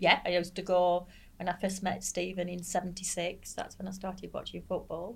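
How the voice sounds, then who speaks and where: At a moderate pace, a woman speaks with a medium pitch, vocal fry, and monotone, flat intonation. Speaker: football fan, expat. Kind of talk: casual chat.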